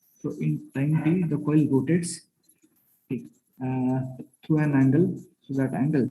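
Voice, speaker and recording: A man speaks with a fairly high pitch and a dark, mellow, somewhat breathy tone. His intonation stays fairly even, with long, frequent pauses. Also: moderate pace. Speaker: lecturer. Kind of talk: lecture. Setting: online lecture from a classroom.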